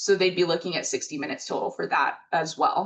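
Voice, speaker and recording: Here is a normal speaking voice from a woman, medium in pitch. She talks at a fairly quick pace against a quiet background. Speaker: webinar presenter. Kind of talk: webinar presentation. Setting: online webinar.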